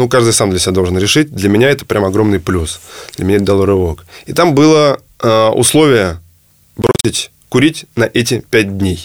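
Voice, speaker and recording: A man talks at a moderate pace, his pitch medium. He has an ordinary speaking voice with lively intonation. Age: 30s. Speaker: entrepreneur. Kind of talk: interview.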